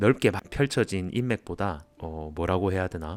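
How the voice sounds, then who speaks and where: A man is talking, and his delivery is fairly slow. There is no sound behind him in this very clean recording. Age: 30s. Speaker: office worker. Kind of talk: personal essay vlog talk. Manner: candid, reflective.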